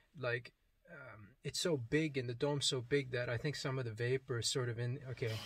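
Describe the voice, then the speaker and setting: Delivered at a fairly quick pace, the speech is somewhat breathy, with fairly even intonation. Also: man, medium pitch for a man. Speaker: religious video blogger. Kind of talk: testimony. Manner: hesitant, many fillers.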